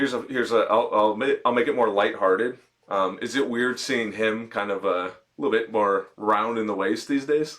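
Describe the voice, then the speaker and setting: A man with an American accent and a plain, everyday voice speaks at a moderate pace with ordinary pitch variation. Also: medium pitch for a man. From Chicago. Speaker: boxing podcast host. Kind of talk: interview.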